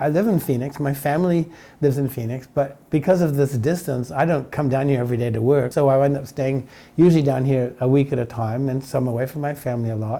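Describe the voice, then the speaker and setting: Fairly high in pitch yet dark and mellow in tone, a man's voice moves at a very fast pace. His pitch varies in an ordinary way. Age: 70s. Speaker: winery owner. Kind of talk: interview. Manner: halting.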